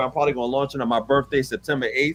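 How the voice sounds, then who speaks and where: Speech rushes out at a very fast pace in a strong New York accent. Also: man. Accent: thick New York. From New York City. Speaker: music producer. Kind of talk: casual chat. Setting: live stream. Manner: animated.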